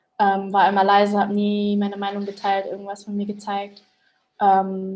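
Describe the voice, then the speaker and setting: The speaker keeps a moderate pace with a monotone, flat intonation. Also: woman. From Germany. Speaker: interviewee. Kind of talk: interview. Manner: hesitant, many fillers.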